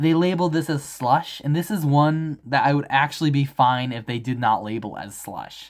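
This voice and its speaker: At a moderate pace, the speech comes through on a very clean recording against a silent background. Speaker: toy collector vlogger. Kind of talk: casual show-and-tell video. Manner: animated.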